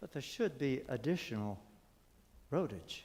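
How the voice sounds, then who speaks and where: At a very slow pace, a man talks with a medium pitch and vocal fry. His pitch swings very widely. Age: 80s+. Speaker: resident speaking at public comment, veteran. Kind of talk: public comment at city meeting. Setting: city commission meeting hall.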